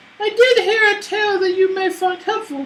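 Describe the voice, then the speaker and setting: The voice is a squeaky, put-on character voice at an extremely high pitch. It moves at a moderate pace. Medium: actual play. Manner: brisk, brusque.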